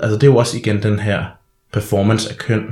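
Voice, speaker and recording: A man with a plain, everyday voice speaks at a fairly low pitch. His pace is fairly quick. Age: 20s. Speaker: drag performer and social science student. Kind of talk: casual chat. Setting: studio.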